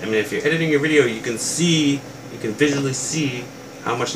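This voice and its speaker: With noticeable background noise and audible room echo, a man of medium pitch speaks at a fairly quick pace. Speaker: toy reviewer youtuber. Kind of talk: casual rant to camera. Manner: soft-spoken, quiet; hesitant, many fillers.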